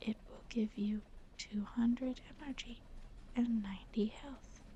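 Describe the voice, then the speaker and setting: The tone is calm. The speaker is soft-spoken. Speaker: ASMR content creator. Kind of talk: soft-spoken ASMR gameplay voiceover reading facts. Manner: quiet, calm, soft-spoken.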